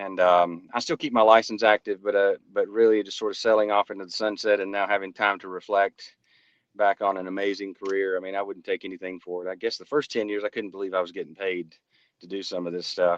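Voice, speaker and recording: A man with a Southern US accent talks at a very fast pace in a fairly low voice with monotone, flat intonation and big swings in loudness. The sound is dry and close with no echo, over a quiet background. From North Alabama, US South. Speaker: private investigator. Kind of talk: casual interview conversation. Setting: remote call while on a road trip. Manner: halting, with many fillers and repeats.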